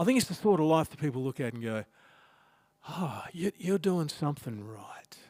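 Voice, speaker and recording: A man with an Australian accent speaks with lively intonation in a dry, close sound with no echo. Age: 60s. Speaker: pastor. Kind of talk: sermon. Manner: conversational.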